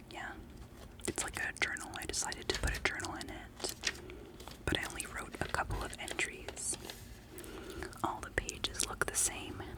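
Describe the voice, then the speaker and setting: Over noticeable background noise, a whispering voice comes with long, frequent pauses. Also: woman, moderate pace. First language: not English. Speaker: ASMR creator. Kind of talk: ASMR show-and-tell. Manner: soft-spoken.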